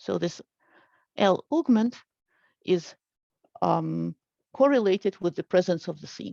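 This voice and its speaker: Against a quiet background, a woman speaks at a fairly slow pace with long, frequent pauses. The audio is dry and close, with no echo. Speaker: linguist giving an academic talk. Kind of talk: lecture. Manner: hesitant, many fillers.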